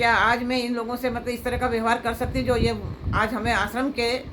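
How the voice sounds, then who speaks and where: Recorded with audible room echo, a woman talks at a moderate pace in a fairly high pitch. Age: 70s. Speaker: devotee. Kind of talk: emotional appeal. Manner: halting.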